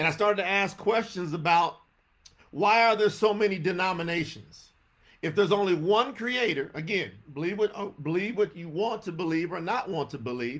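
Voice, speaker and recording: The voice has an animated tone in a Southern US accent, with ordinary pitch variation. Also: man, high pitch for a man, moderate pace. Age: 50s. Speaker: religious teacher. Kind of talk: sermon. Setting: livestream.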